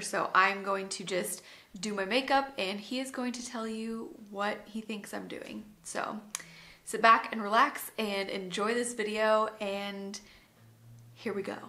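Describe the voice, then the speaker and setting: A woman speaks at a fairly slow pace in a fairly high voice, with fairly even intonation. Her loudness swings widely. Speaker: beauty vlogger. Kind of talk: casual talk to camera. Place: home room.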